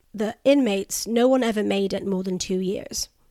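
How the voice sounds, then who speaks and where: A woman's voice at medium pitch and a moderate pace. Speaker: podcast host. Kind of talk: ghost story telling. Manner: measured, dramatic narration with dark humour; laughs easily, chatty.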